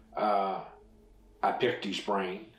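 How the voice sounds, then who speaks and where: Noticeable background noise sits behind a man's voice. He speaks very slowly with an American accent. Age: 70s. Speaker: retired railroad fireman. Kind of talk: oral history interview answer.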